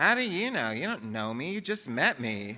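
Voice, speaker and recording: In a put-on character voice, a man whines in a whiny tone at a medium pitch, swinging very widely in pitch at a moderate pace. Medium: read story.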